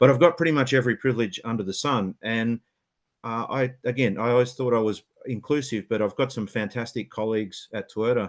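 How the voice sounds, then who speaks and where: A man with an Australian accent, fairly quick and fairly even in intonation, against a quiet background. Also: medium pitch for a man. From Western Australia, Perth. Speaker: automotive engineering senior manager. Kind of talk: webinar panel talk. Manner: hesitant, many fillers and repeats.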